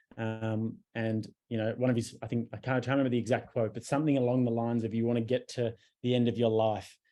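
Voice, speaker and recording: Speaking very fast, a man has a dark, mellow tone and an Australian accent. His intonation stays monotone and flat. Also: medium pitch for a man. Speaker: podcaster and YouTuber. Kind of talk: interview conversation.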